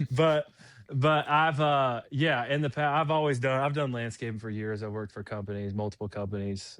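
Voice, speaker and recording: In a very clean recording with a silent background, a man speaks with a Southern US accent. His medium pitch moves with ordinary variation. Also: moderate pace. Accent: Southern US (Georgia). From US South, Fayetteville, Georgia. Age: 20s. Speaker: lawn care business owner and ultrarunner. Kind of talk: casual interview chat.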